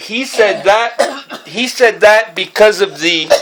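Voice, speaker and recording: The voice is loud. It moves at a very slow pace. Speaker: artist, painter. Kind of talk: casual talk explaining art. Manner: loud, over-articulated.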